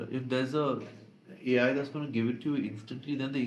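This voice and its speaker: A man at medium pitch with fairly even intonation, plus audible room echo. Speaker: advertising professional and author. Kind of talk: interview. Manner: hesitant, many fillers.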